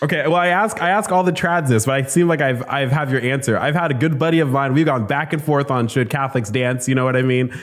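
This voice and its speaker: A man with a fairly high voice talks very fast, barely pausing, his loudness very even and his pitch moving in an ordinary way. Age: 30s. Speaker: podcast host. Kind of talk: casual interview chat.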